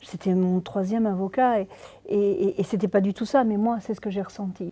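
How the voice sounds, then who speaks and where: At a moderate pace, a woman of medium pitch speaks with fairly even intonation. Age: 60s. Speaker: real-life abuse victim and author whose story inspired the film. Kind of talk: interview testimony. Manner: halting with many repetitions.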